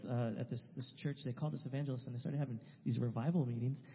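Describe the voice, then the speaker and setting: Somewhat breathy, the voice carries an American accent and fairly even intonation. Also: man. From California, San Francisco Bay Area. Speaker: missionary. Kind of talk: testimony. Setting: church.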